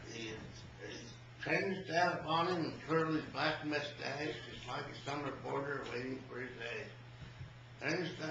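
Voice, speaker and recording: A man at a moderate pace, ordinary pitch variation, noticeable background noise behind him. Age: 80s+. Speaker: cowboy. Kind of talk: poetry reading.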